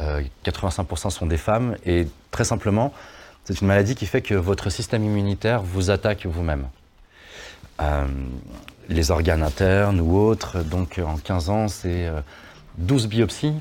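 A man with a very deep, low pitch speaks at a fairly slow pace, with ordinary pitch variation and long, frequent pauses. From France, Lyon area (Vaulx-en-Velin). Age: 40s. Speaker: slam poet and singer. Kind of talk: interview.

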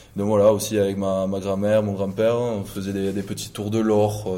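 In a room with audible echo, a man with a fairly low pitch talks at a moderate pace in a monotone, flat intonation. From southwest France, Gers. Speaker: professional rugby player. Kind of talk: interview. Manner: halting, many fillers and repetitions.

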